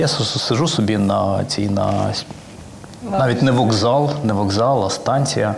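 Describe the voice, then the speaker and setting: Audible room echo colors a man's voice. Noticeable background noise is also present. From Ukraine, Volyn region village near Kovel. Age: 40s. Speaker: finance executive. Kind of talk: interview.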